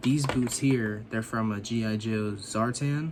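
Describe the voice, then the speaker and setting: With noticeable background noise behind him, a man speaks at a fairly slow pace and medium pitch, his intonation fairly even. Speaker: action figure customizer, YouTuber. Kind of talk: casual tutorial vlog. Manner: casual, filler-heavy.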